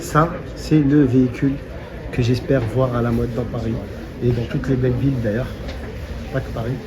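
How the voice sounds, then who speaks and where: Soft-spoken and monotone with flat intonation, a man at a medium pitch speaks at a moderate pace with long, frequent pauses, amid noticeable background noise and audible room echo. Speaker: car vlogger. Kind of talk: walkaround vlog commentary. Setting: outdoors at a car show.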